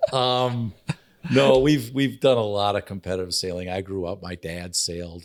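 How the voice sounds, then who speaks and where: A man's fairly low voice with an Upper Midwest accent, lively intonation and a moderate pace. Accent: Upper Midwest American. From Oshkosh, Wisconsin. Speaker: nonprofit foundation CEO, former apparel executive. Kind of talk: interview answer.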